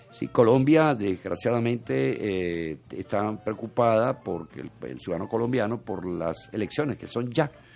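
Fairly slow, lively speech with hardly any pauses and big swings in loudness, over music in the background. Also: man, fairly low pitch for a man. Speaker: radio host. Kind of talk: casual chat and news commentary.

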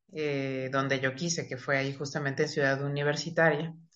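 A woman speaks at a moderate pace with a very deep, low pitch. Her intonation stays fairly even, and the room echo is audible. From Mexico City. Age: 40s. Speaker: psychiatrist. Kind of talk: interview.

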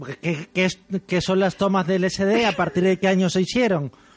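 A man's high-pitched voice at a moderate pace, with noticeable background noise. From Spain. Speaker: podcast host. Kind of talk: casual chat.

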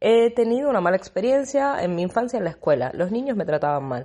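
With a dark, mellow tone and very wide pitch swings, the speech moves at a fairly quick pace over a quiet background. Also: woman. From Argentina, Buenos Aires. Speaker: life coach and podcaster. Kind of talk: motivational podcast monologue.

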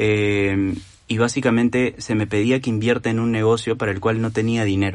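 A man talks at a moderate pace. His intonation stays monotone and flat. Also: medium pitch for a man. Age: 30s. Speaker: doctor and entrepreneur talking about personal finance. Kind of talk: casual interview.

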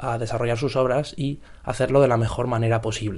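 A man speaks at a moderate pace. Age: 20s. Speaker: podcaster. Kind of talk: casual monologue. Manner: halting.

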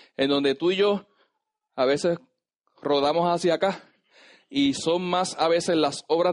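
A man talks in an animated tone at a fairly slow pace, with ordinary pitch variation. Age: 30s. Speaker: pastor. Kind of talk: sermon. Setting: church.

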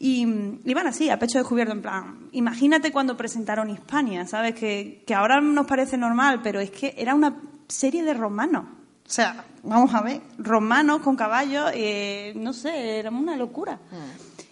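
Here a woman speaks at a moderate pace. Her pitch is high for a woman, with ordinary variation. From Spain, Andalusia (Jaén province). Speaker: screenwriter. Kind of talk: festival talk with audience Q&A.

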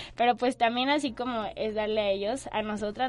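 A woman's pitch varies in an ordinary way. She speaks at a moderate pace. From Guadalajara, Mexico. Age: 20s. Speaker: brand manager. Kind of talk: casual interview.

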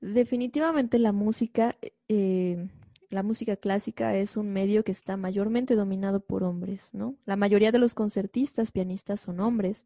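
Heard with a dry, close sound and no echo, a woman speaks at a moderate pace in a somewhat breathy, medium-pitched voice with a dark, mellow tone and ordinary pitch variation. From Mexico, Xalapa, Veracruz. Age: 20s. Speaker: concert pianist. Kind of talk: interview conversation.

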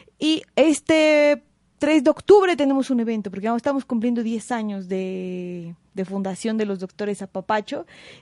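Against a quiet background, a woman with a dark, mellow tone talks at a moderate pace with lively intonation, the sound dry and close with no echo. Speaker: clown. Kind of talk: casual chat.

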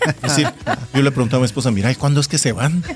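Here a man speaks with a fairly high pitch. Noticeable background noise is present. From Korea. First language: Korean (speaking Spanish). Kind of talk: casual radio talk on marriage.

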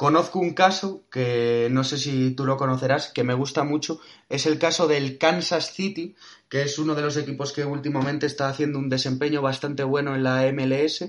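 Using a plain, everyday voice, a man speaks at a moderate pace, his fairly high pitch kept to fairly even intonation. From Spain. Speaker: podcast host. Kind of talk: casual interview.

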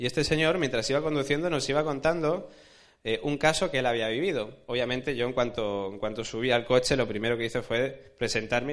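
A man with a medium pitch and ordinary pitch variation rattles along at a very fast pace, with audible room echo. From Alicante, Spain. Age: 20s. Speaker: journalist. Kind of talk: lecture.

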